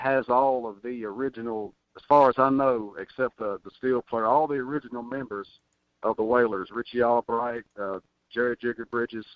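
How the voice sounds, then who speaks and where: With a Tennessee accent, a man talks at a moderate pace and with ordinary pitch variation. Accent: Southern US (Tennessee). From Tennessee, near Nashville. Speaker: country recording artist. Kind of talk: radio interview. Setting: phone call.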